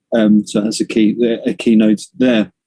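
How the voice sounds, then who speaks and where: A man with a British accent speaks in a dark, mellow tone. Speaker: construction industry director. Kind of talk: presentation. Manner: fast.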